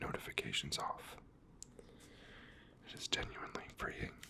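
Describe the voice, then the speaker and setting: A man's whispering amid noticeable background noise. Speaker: ASMR creator. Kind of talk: ASMR affirmations and poetry reading. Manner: soft, slow, relaxing.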